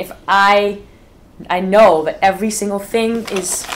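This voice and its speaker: Behind this woman's voice there is noticeable background noise. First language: not English. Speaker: festival organizer. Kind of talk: casual chat. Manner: halting.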